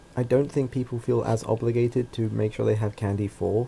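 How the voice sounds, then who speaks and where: With an English accent, a man talks in a somewhat breathy voice with a dark, mellow tone. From England. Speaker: podcast co-host. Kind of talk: casual chat.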